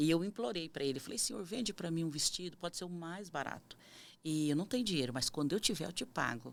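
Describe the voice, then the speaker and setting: A woman with a fairly low voice speaks very fast, her intonation lively. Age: 50s. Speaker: missionary. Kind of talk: testimony.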